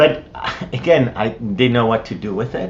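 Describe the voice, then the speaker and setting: A man speaks with an Israeli accent. Noticeable background noise runs behind him. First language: Hebrew. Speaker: missionary. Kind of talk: interview answer.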